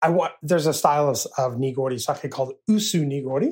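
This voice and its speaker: A man with an American accent talks in an unremarkable speaking voice, with a fairly high pitch, ordinary pitch variation and a moderate pace. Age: 50s. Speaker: sake brewer and brewery owner. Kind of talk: casual interview.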